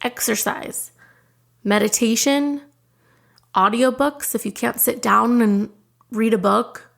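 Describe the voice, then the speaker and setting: Speaking at a very slow pace, a woman with a high voice uses ordinary pitch variation. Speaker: podcast host. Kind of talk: podcast monologue. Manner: loud.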